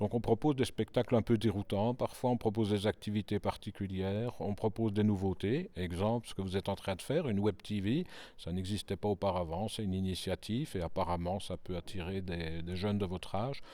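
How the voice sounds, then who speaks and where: Over a very clean recording with a silent background, a man with a fairly low pitch and a dark, mellow tone talks at a fairly quick pace with ordinary pitch variation and hardly any pauses. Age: 60s. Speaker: cultural centre director. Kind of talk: interview.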